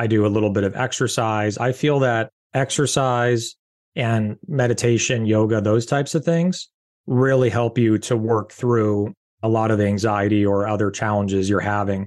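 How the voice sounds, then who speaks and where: Speech at a moderate pace in a Californian accent, with ordinary pitch variation and very even loudness over a quiet background. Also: man, medium pitch for a man. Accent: Californian American English. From Southern California. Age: 40s. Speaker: beverage company founder and CEO. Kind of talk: interview.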